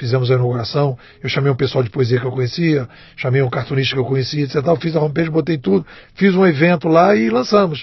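A man with a fairly high pitch talks at a very fast pace, his voice somewhat breathy and his pitch varying in an ordinary way. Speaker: digital strategy consultant and writer. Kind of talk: casual chat.

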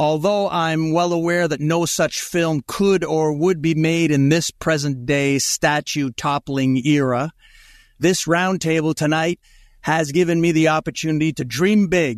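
Over a quiet background, a man with a normal speaking voice talks at a fairly slow pace. His pitch is fairly high and his loudness very even. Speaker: podcast host. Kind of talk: casual roundtable pitch, ending in a product pitch read. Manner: brisk, upbeat, salesy in the ad read.

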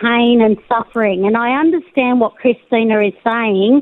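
A woman speaks with an Australian accent at a high pitch. Her pitch varies in an ordinary way. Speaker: caller, law academic. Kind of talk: radio call-in. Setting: phone call.

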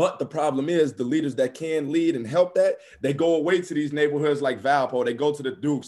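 At a fairly quick pace, a man with a fairly high pitch talks in an unremarkable speaking voice. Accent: American. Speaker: former college basketball player. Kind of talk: interview.

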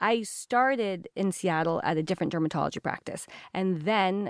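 A woman speaks with an American accent in a very clean, dry, close recording with a silent background and no echo. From Washington State (Olympia). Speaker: dermatologist and skincare founder. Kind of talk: casual interview.

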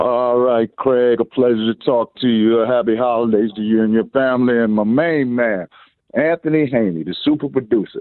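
A man with an American accent talks at a moderate pace in a normal speaking voice. His pitch is medium, with ordinary pitch variation. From Washington DC. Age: 60s. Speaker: caller. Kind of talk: casual chat. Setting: phone call.

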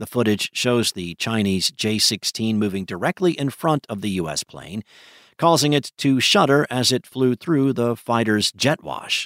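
A man with a plain, everyday voice, medium pitch and lively intonation at a fairly slow pace, in a very clean recording with a silent background and a dry, close sound with no echo. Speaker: news reader. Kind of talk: newsreading, reading a written news article aloud. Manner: formal, even and measured; steady, brisk and neutral in tone.

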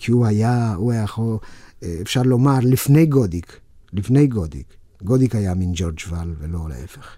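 In a very clean recording with a silent background, a man speaks at a moderate pace and a fairly low pitch. His dark, mellow tone moves with lively intonation. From Romania. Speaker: actor. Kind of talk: interview.

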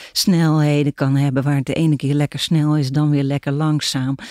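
A woman speaks at a moderate pace in a very deep, low pitch with a dark, mellow tone. The sound is dry and close with no echo, and the recording is very clean over a silent background. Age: 60s. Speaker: philosopher. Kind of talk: casual chat. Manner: halting.

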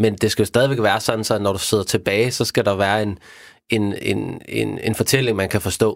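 On a very clean recording with a silent background, a man speaks at a moderate pace in a fairly low, monotone voice with flat intonation. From Denmark. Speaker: crime novelist. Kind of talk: casual chat. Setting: studio. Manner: halting.

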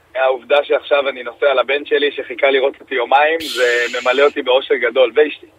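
Hardly pausing, a man with a fairly high pitch talks in a monotone, flat intonation. Noticeable background noise can be heard behind him. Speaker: politician. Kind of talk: radio interview. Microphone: audio cutting out.

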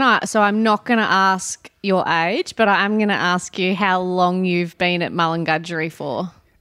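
In a very clean recording with a silent background, the voice has a bright, sharp tone and an Australian accent. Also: woman, hardly any pauses. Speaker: veterinarian interviewer. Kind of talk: casual interview. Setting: kitchen table at home.

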